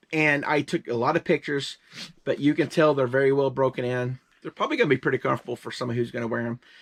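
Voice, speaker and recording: A man with a fairly high pitch talks at a very fast pace, with ordinary pitch variation. The sound is dry and close, with no echo. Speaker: reseller. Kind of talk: casual chat.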